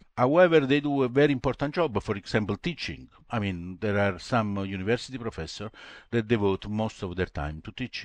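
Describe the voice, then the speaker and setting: This man has an Italian accent and a fairly low pitch, speaking at a fairly quick pace. His intonation is lively, and the background is quiet. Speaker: retired molecular biologist. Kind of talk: interview. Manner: halting.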